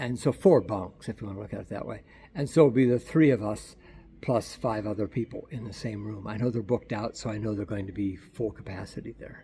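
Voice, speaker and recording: The somewhat breathy voice moves at a fairly quick pace, with ordinary pitch variation and big swings in loudness. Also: man. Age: 60s. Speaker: travel vlogger. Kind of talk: casual video diary. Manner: halting, repeats words.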